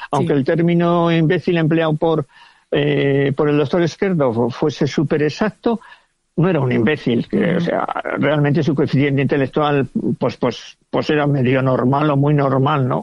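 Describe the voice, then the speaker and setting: Speaking at a moderate pace with very even loudness, a man has a plain, everyday voice, a fairly high pitch and ordinary pitch variation. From Villajoyosa, Alicante, Spain. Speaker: novelist. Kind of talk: casual interview.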